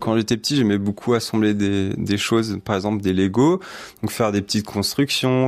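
His pitch is fairly low and his intonation fairly even, at a moderate pace. The recording is very clean, with a silent background. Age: 20s. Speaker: electronics engineer. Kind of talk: interview. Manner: halting, many fillers and repetitions.

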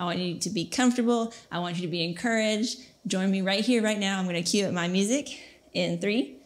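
A woman talks very fast, her pitch varying in an ordinary way. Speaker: fitness instructor. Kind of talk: workout class instruction. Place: home room.

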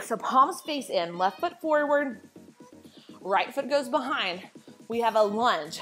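Light background noise accompanies a woman speaking. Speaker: fitness instructor. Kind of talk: workout instruction. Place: empty room. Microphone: lapel.

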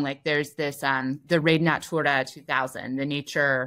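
A woman's very deep, low voice with an American accent, fairly even intonation, moderate pace, and a quiet background. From US Midwest. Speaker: freelance journalist; interview guest. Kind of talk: interview conversation. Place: home room.

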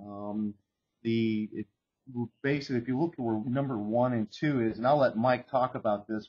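A man with a plain, everyday voice at a medium pitch, a moderate pace and ordinary pitch variation. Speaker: webinar host. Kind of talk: technical webinar presentation. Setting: video call.

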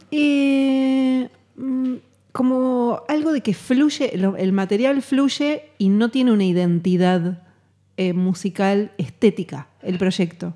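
Over a quiet background, a woman with a Rioplatense accent speaks very slowly in a dark, mellow tone with lively intonation. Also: fairly high pitch for a woman. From Argentina, Buenos Aires. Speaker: musician; guest. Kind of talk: interview. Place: hall. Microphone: studio mic.

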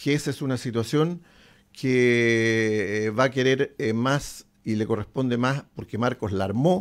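Over a quiet background, a man talks at a very slow pace in a medium pitch. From Chile, Concepción; Chile. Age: 70s. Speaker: football club general manager; guest. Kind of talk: interview. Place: studio. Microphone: studio mic.

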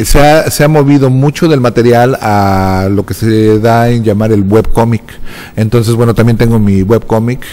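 A man talks at a moderate pace with fairly even intonation. His fairly low voice has a dark, mellow tone over faint background noise.

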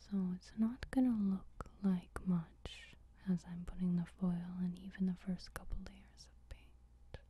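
A soft-spoken voice in a dry sound with no echo, over light background noise. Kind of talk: tutorial. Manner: soft-spoken ASMR narration. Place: home room. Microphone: camera far.

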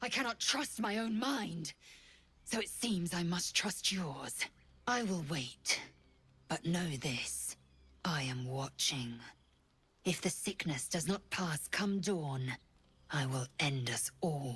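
A woman with a fairly low pitch speaks at a fairly slow pace, her voice swinging very widely in pitch between long, frequent pauses. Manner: grim, intense, threatening.

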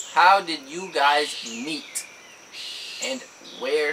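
A man with an American accent speaks at a fairly high pitch with ordinary pitch variation over noticeable background noise. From Georgia, US. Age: 20s. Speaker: YouTuber. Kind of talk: casual Q&A chat. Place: home room. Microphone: camera far.

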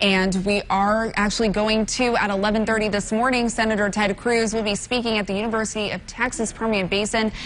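Over light background noise, a woman talks at a fairly quick pace with hardly any pauses and monotone, flat intonation. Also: very even loudness. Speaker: TV news anchor. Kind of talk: breaking news broadcast. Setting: TV studio. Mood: serious, somber news delivery. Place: studio. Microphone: lapel.

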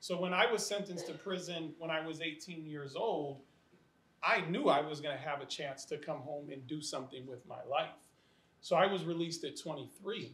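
In an American accent, a man talks at a moderate pace with a fairly high pitch, and room echo is audible. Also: ordinary pitch variation. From US Midwest. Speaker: education nonprofit leader, formerly incarcerated. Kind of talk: panel discussion.

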